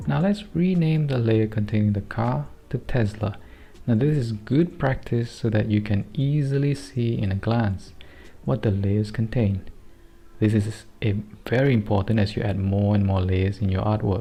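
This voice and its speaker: In a Singaporean accent, the speaker sounds somewhat breathy, with a dark, mellow tone. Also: man, fairly low pitch for a man, ordinary pitch variation, moderate pace. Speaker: digital artist. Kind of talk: software tutorial narration.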